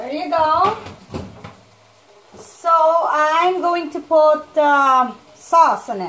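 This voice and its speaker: A woman speaks very slowly, with long, frequent pauses and noticeable background noise behind her. Her high voice shows ordinary pitch variation but big swings in loudness. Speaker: home cook vlogger. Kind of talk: cooking tutorial. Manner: casual, conversational.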